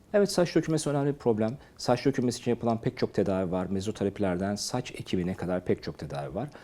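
A man speaks very fast in a fairly low pitch. His tone is dark and mellow. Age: 50s. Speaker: doctor. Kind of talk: health advice talk to camera.

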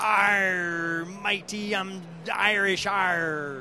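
A put-on character voice at middle pitch, with clear background noise. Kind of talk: comic street interview banter. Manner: mock Irish pirate voice.

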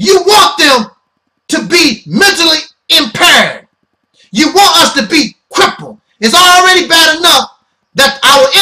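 A man with an American accent speaks in a raised, projected voice with a bright, sharp tone. His intonation is lively, and the background is quiet. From United States. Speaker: internet ministry host and commentator. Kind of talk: opinionated sermon-style monologue. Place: home room. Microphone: webcam.

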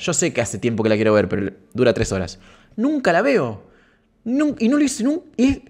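A man with an Argentine accent at a very fast pace, very wide pitch swings, and a quiet background. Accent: Argentine Spanish (rioplatense voseo). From Santa Fe province, Argentina. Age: 30s. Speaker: streamer. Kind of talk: casual live stream chat. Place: home room. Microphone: studio mic.

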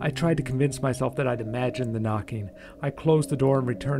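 A clip of reading aloud in a natural voice

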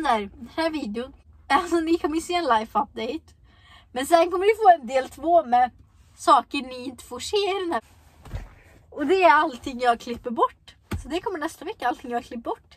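With big swings in loudness, a woman speaks in a high pitch. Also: lively intonation, moderate pace, dry sound with no echo. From Sweden. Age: young. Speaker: vlogger. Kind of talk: casual vlog talk. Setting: in a car. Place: car. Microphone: phone near.

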